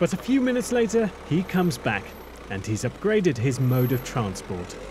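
Over noticeable background noise, a man with a fairly high pitch talks at a moderate pace with very wide pitch swings. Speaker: TV news presenter and journalist. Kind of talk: investigative documentary reporting.

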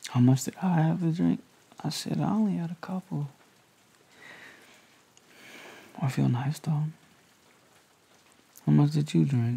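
At a moderate pace, a man speaks in a dark, mellow, somewhat breathy tone, leaving long, frequent pauses. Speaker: ASMR roleplay creator. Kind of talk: roleplay chat. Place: home room.

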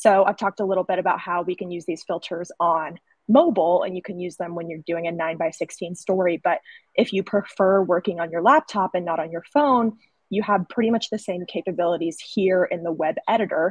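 Fairly quick speech in an American accent with ordinary pitch variation, the sound dry with no echo and the background quiet. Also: woman. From US South, North Carolina. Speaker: sales rep, former graphic designer; sales rep. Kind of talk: webinar presentation. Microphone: webcam.

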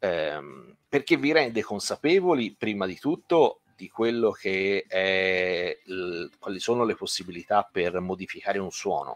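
Speaking at a fairly slow pace over a quiet background, a man with a fairly low pitch uses lively intonation and big swings in loudness. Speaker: guitar teacher. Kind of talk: live online lesson. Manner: hesitant, many fillers. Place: home room. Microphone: studio mic.

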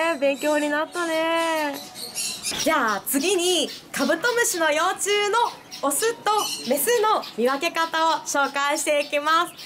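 A woman speaks at an extremely high pitch with lively intonation and a fairly slow pace. Noticeable background noise runs under her voice. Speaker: pet shop staff. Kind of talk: pet shop explainer video co-host. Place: shop. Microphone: phone near.

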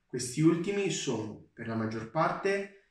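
A man's voice with audible room echo. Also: quiet background. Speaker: university student. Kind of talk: testimonial.

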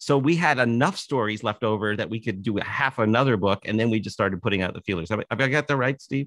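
A man speaks at a very fast pace with hardly any pauses and ordinary pitch variation, the sound dry with no echo over a quiet background. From Canada, Toronto. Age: 60s. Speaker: author and musician. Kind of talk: casual interview chat. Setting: video call. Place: home room. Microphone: studio mic.

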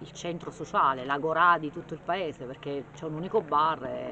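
Over noticeable background noise, a woman speaks with a very deep, low pitch and ordinary pitch variation. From Abruzzo, Pietracamela (Teramo). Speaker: local business owner. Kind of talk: interview.

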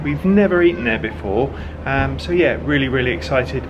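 Talking fairly quickly, a man is heard with noticeable noise in the background. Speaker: travel vlogger. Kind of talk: casual vlog chat. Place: home room. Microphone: phone near.

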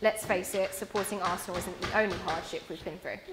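With music playing in the background, a woman speaks at a fairly quick pace. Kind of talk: wedding speech. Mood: warm, emotional, some humour. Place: hall.

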